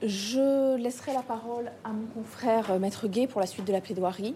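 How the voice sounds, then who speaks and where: A somewhat breathy woman's voice, fairly high in pitch with a dark, mellow tone, moves with ordinary pitch variation. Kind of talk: courtroom plea by a civil-party lawyer, formal oratory. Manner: formal, measured, argumentative.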